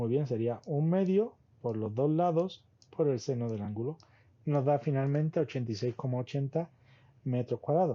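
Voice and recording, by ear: A man with a dark, mellow tone speaks at a moderate pace, his medium pitch showing ordinary variation.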